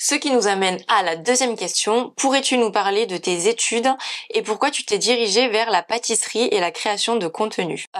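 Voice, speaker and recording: A woman's fairly high voice, with ordinary pitch variation, unfolds at a fairly slow pace. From southern France, near Narbonne. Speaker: vegan food and pastry content creator. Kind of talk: casual FAQ vlog.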